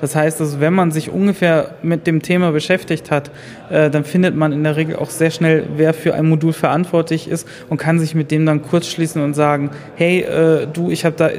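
Over noticeable background noise, a man speaks at a moderate pace in a fairly high, monotone, flat voice. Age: 20s. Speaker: self-employed system administrator. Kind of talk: interview.

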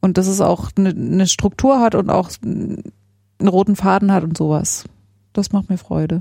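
Somewhat breathy and dark, mellow in tone, a woman's medium-pitched voice moves at a moderate pace with fairly even intonation. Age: 30s. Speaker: engineer and podcast co-host. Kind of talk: casual interview conversation. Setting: home study room.

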